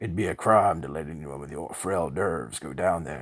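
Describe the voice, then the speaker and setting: A man's raspy put-on character voice, very deep and low in pitch, at a moderate pace with big swings in loudness. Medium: read story. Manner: calm, superior.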